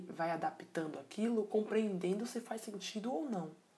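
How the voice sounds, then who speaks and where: With ordinary pitch variation, this woman's speech moves at a fairly slow pace. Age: 20s. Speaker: podcast host. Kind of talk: solo reflective monologue. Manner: casual, with many hesitations and filler words.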